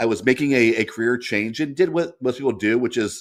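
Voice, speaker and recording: A man is speaking at a fairly quick pace. His pitch shows ordinary variation. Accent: American. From US Midwest. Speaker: business leader and entrepreneur. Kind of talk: interview. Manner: halting, many repetitions.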